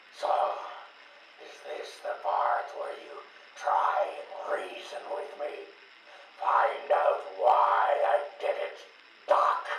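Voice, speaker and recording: A man puts on a character voice, speaking at a very slow pace with long, frequent pauses. Strong echo and clear background noise fill the recording. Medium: video game. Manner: menacing, mocking.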